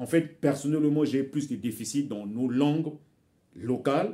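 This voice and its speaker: A man with a Congolese accent at a fairly high pitch, talking at a fairly slow pace. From Republic of Congo. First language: Bembe (speaking French). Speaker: author and commentator. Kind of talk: video monologue, cultural commentary. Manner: hesitant, with repetitions.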